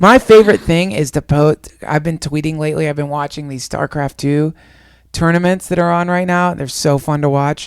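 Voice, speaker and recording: A man speaks at a moderate pace in an animated tone with ordinary pitch variation. The sound is dry and close, with no echo. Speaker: podcast co-host. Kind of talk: casual chat.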